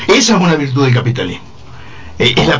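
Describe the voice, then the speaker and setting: A man with a Uruguayan accent talks at a very fast pace with lively intonation, amid audible room echo and noticeable background noise. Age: 60s. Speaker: retired philosophy teacher. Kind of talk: panel debate.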